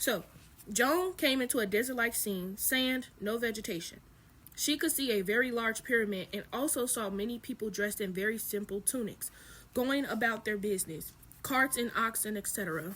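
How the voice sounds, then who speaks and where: Her voice sits at a fairly high pitch, and the woman's pitch varies in an ordinary way. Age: 20s. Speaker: spiritual content creator. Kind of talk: reading aloud with commentary. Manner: fast; casual.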